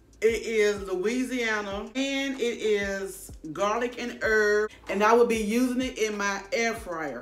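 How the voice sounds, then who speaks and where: A woman at a very slow pace with ordinary pitch variation, faint music in the background. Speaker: cooking vlogger. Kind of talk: casual vlog chat. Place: kitchen. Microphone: phone near.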